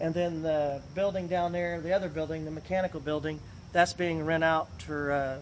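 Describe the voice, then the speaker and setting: Monotone, flat intonation at a fairly quick pace, with noticeable background noise. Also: man. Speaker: auctioneer. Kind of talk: interview answer. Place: street. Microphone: phone near.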